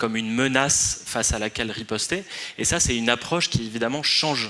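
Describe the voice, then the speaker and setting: A man talks at a moderate pace and medium pitch. His pitch varies in an ordinary way over noticeable background noise. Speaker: researcher on influence strategies. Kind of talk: conference talk. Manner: hesitant, many fillers.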